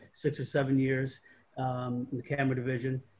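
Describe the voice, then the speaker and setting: Somewhat breathy, a man talks at a moderate pace. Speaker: panel host. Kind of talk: panel introduction. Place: home room. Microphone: video call.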